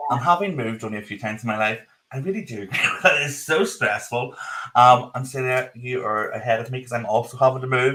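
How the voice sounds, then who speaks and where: A man talks at a very fast pace with a strong Northern Irish accent, his pitch medium and its variation ordinary. His loudness swings widely. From Northern Ireland. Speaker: podcast co-host. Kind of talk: live podcast chat. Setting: video call live stream, in his office.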